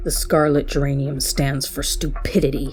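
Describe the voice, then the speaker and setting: A put-on character voice growls at a moderate pace. Clear background noise can be heard behind it. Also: woman. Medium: read story. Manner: hiding menace behind shyness.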